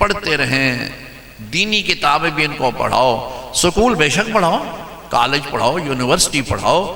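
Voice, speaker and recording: Noticeable background noise and audible room echo surround a man speaking with lively intonation. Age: 70s. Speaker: Islamic scholar. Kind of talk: sermon.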